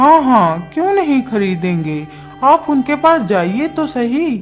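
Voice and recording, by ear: A high-pitched cartoonish character voice with very wide pitch swings moves at a fairly slow pace over clear music in the background.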